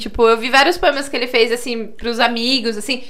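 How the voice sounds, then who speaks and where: Raising and projecting her voice, a woman speaks at a high pitch and a fairly quick pace. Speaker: podcast host. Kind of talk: casual chat.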